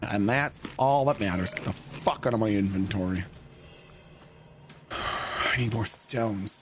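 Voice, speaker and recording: Music plays in the background while a man with a fairly low pitch speaks, leaving long, frequent pauses. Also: ordinary pitch variation. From Canada, Ontario. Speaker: gaming streamer. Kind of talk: live gaming stream chat. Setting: home basement streaming setup. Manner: animated.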